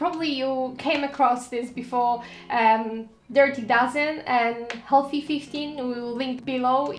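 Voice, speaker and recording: A woman speaks at a high pitch and a fairly slow pace, with ordinary pitch variation. Audible room echo and light background noise are present. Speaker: lifestyle vlogger. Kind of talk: casual vlog chat giving tips. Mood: friendly, smiling. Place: home room.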